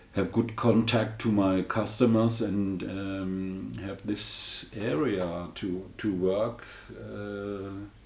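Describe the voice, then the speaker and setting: Amid audible room echo, a man speaks at a very slow pace with fairly even intonation. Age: 60s. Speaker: amp restorer. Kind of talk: interview. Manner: halting.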